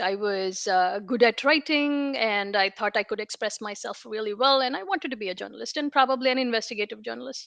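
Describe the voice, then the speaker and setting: A woman with an Indian accent and lively intonation at a fairly quick pace, in a dry, close sound with no echo and a quiet background. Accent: Indian, non-American. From India (Hyderabad). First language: Telugu. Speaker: information security leader. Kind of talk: interview.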